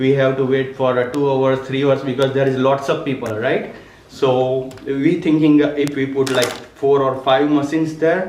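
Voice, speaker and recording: Audible room echo and noticeable background noise surround a man whose fairly high pitch stays in a monotone, flat intonation. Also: moderate pace. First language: not English. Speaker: local business owner presenting to council. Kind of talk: presentation to council. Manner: halting, many fillers.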